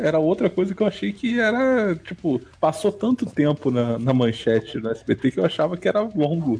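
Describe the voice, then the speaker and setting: A man with a high pitch and a dark, mellow tone talks at a moderate pace with very wide pitch swings, very even loudness and hardly any pauses. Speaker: podcast co-host. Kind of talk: casual chat.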